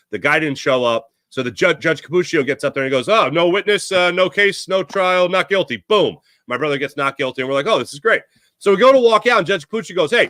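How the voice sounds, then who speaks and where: Speaking very fast with a Philadelphia accent, a man with a high, bright, sharp voice swings widely in pitch, recorded dry and close with no echo on a very clean, silent background. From Philadelphia area, Pennsylvania. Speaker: sports podcast host. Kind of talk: casual chat.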